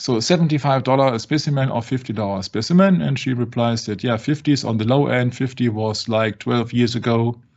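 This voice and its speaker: A man speaks with a non-native accent at a medium pitch. His pace is fairly quick, with ordinary pitch variation. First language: not English. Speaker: religious discussion show host. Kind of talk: casual discussion. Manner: halting.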